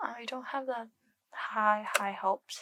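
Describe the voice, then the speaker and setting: The speaker is soft-spoken. The pace is very slow. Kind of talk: ASMR chatting to camera.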